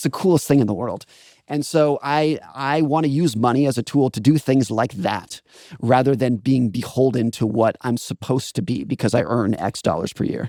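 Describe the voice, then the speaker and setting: In a dry, close sound with no echo, a man with a medium pitch and a dark, mellow tone talks at a fairly quick pace with ordinary pitch variation. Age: 40s. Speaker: author. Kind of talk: casual chat. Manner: halting.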